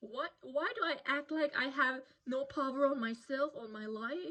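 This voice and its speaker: A woman's high-pitched voice with a non-native accent at a fairly slow pace. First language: not English. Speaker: vlogger. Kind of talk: personal advice monologue. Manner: halting, repeats words.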